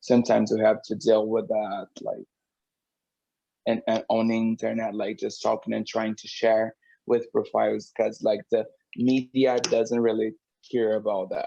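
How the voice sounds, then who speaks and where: A man with a Portuguese accent talks at a moderate pace. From Brazil. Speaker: drag queen and singer. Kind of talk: interview. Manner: halting.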